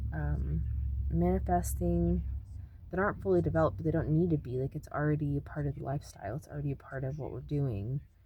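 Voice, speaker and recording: A dark, mellow voice with vocal fry races along at a very fast pace, its pitch swinging very widely. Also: woman, very deep, low pitch for a woman. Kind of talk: spiritual teaching monologue. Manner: soft-spoken; hesitant, many fillers.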